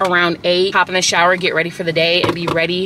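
In a dry sound with no echo and noticeable background noise, a woman speaks at a fairly low pitch in a flat monotone. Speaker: lifestyle vlogger. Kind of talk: casual vlog chat. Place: car. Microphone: phone near.

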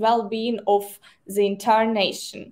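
Someone speaks very slowly with a Ukrainian accent. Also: woman. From Ukraine. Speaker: nonprofit director of operations. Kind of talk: livestream interview. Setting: video call. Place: office.

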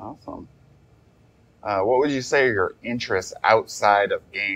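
A man talks in a plain, everyday voice at a medium pitch and moderate pace, with ordinary pitch variation. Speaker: board game channel host and interviewer. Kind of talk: casual video intro and interview questions.

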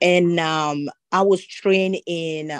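Her voice sits at a fairly low pitch with ordinary variation. The woman is heard with a dry, close sound and no echo. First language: French. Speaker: government employee. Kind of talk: audience comment. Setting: video call.

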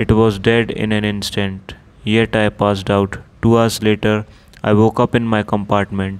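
In an Indian accent, a man speaks at a moderate pace with a fairly low pitch and monotone, flat intonation. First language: Hindi. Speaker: audiobook narrator. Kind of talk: audiobook reading, Hindi intro then English narration.

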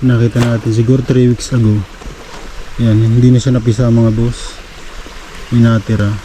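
A man talks at a moderate pace and medium pitch in a monotone, flat intonation, with very even loudness. Long, frequent pauses break up his speech over noticeable background noise. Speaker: fishing vlogger. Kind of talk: outdoor vlog narration. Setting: outdoors by a river. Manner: casual.

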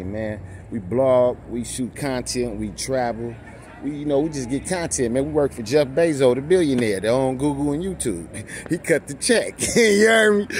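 Crowd noise sits in the background, and the sound is dry with no echo. The speech moves at a moderate pace. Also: man. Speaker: vlogger. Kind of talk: casual vlog chat. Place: bar. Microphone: phone near.

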